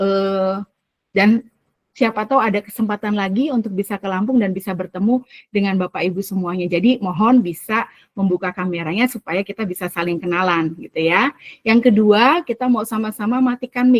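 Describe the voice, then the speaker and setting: The speaker sounds shrill, talking at a fairly quick pace with ordinary pitch variation in a dry, close sound with no echo. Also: woman. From Central Java (Semarang), Indonesia. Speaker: teacher trainer / facilitator. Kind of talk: online training session. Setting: video call. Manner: lively, engaging.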